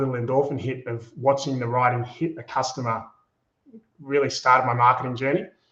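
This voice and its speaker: A man with a slight Australian accent. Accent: Australian, slight, with a broad Bogan tinge. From Australia, Melbourne. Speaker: agency co-founder, former radio host. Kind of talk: interview.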